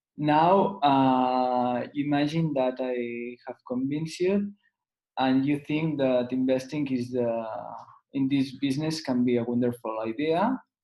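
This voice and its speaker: With a Catalan accent, a man talks at a fairly slow pace with ordinary pitch variation. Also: medium pitch for a man. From Spain. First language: Spanish or Catalan. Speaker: lawyer and business advisor. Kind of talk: webinar presentation. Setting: online webinar. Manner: halting, frequent fillers.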